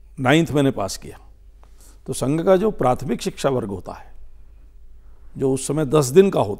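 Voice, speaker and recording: A man's fairly high yet dark, mellow voice at a fairly slow pace, with lively intonation and big swings in loudness, over a quiet background. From India, Dehradun, Uttarakhand; Uttarakhand, India. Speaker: politician. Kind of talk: interview. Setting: studio. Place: studio. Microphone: lapel.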